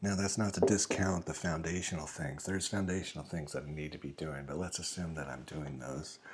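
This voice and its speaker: Soft-spoken and very deep, a man talks with ordinary pitch variation and hardly any pauses. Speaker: father. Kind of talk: casual talk to camera. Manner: slow, reflective; calm, gentle.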